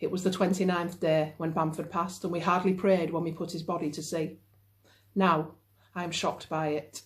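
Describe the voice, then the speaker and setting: Speaking at a moderate pace, a woman with a Yorkshire accent has a fairly low pitch and fairly even intonation. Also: very clean recording, silent background. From Yorkshire, northern England. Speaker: novelist. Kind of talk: reading aloud. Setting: at home.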